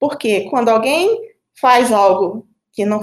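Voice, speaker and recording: A woman speaks at a medium pitch with vocal fry and lively intonation. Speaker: team leader. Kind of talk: casual panel conversation.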